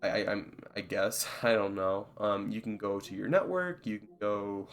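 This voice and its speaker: A man is speaking. Music plays in the background. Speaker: gaming YouTuber. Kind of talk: tutorial. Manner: halting, with many fillers; casual.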